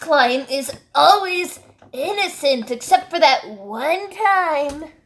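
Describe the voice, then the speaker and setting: A woman's put-on character voice, lively in intonation and very slow in pace. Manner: upset, agitated.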